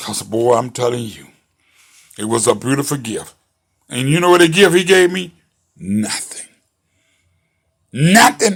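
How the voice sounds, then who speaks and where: A man speaks in a raised, projected voice with an animated tone. His tone is bright and sharp. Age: 60s. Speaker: commentary show host. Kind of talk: monologue commentary.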